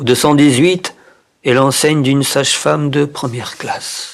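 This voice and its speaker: This man has a fairly high pitch and fairly even intonation. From Japan. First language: Japanese (speaking French). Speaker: poetry reader. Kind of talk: reading aloud. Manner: expressive.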